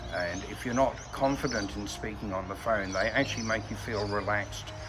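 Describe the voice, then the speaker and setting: Amid noticeable background noise and audible room echo, a man with an Australian accent and a fairly low pitch talks at a fairly quick pace. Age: 60s. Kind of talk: testimonial interview. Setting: outdoors in a park. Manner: hesitant, with frequent fillers.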